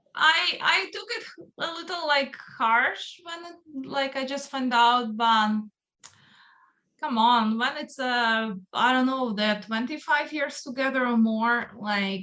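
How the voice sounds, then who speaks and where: In a raised, projected voice with a non-native accent, a woman speaks very slowly, her high pitch bright and sharp with ordinary variation. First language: not English. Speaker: metal singer. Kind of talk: casual interview chat. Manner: talkative.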